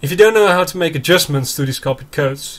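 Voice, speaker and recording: A man's voice is somewhat breathy. He speaks fairly quickly. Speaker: programming tutorial maker. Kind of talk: tutorial. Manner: halting.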